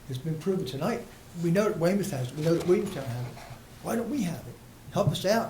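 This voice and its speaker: A man talks at a very fast pace in a high pitch. Room echo is audible. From South Jersey. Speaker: resident speaking at public comment. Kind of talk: public comment at municipal meeting. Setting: township committee meeting.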